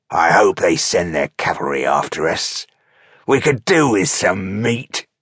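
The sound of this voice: A man growls in a put-on character voice, low and gravelly with a slightly husky edge. His pitch swings big. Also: fairly slow pace.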